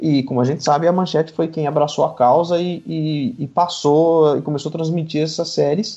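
This man's voice is fairly high in pitch. Its tone is dark and mellow. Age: 30s. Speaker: tokusatsu enthusiast and YouTuber. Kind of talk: podcast interview.

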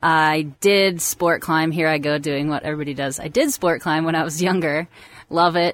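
In a Midwestern American accent, a woman speaks with a very deep, low pitch at a moderate pace. Her intonation is fairly even, and the recording is very clean with a silent background. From US Midwest, Cincinnati, Ohio. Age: 20s. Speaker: professional boulderer. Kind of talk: casual interview. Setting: mobile studio in a park.

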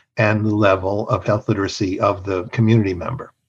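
A man's fairly low voice comes through somewhat breathy. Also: quiet background. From Mexico. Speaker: health strategy consultant. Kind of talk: interview conversation.

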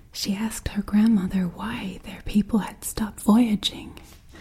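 The reading voice is unforced. Its intonation stays fairly level.

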